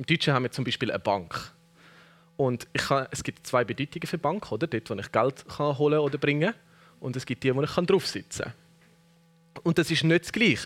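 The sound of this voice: A man at a fairly quick pace, medium pitch, fairly bright tone and ordinary pitch variation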